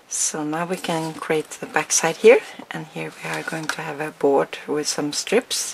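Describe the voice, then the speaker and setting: Against noticeable background noise, a woman with a very deep, low voice speaks at a fairly slow pace, her loudness swinging widely while her pitch varies in an ordinary way. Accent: non-native. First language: not English. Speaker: crafting tutorial maker. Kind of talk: tutorial. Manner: hesitant, with fillers.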